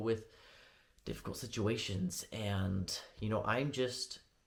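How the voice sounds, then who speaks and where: Here a man speaks in a fairly low, somewhat breathy voice. His intonation stays fairly even. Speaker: vlogger preparing for a church mission. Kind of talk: testimony vlog. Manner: fast; rambling with frequent fillers.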